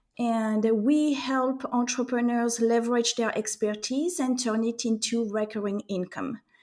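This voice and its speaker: Speaking at a fairly slow pace with hardly any pauses, a woman with a French accent keeps a fairly high pitch and fairly even intonation. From France. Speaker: entrepreneur. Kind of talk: interview. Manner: halting.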